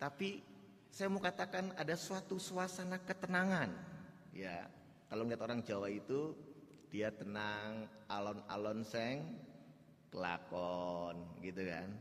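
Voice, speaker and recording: A man with a Javanese accent, medium pitch, very wide pitch swings, a fairly slow pace and long, frequent pauses. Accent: Javanese accent coming through. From Java, Indonesia. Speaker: pastor. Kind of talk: sermon. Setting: church.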